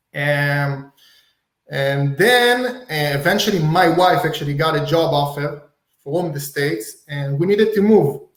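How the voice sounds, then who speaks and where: Audible room echo surrounds a man's voice. He speaks fairly high and fairly slowly, with lively intonation. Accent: Israeli. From Israel. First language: Hebrew. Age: 30s. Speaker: real estate wholesaler. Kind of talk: podcast interview.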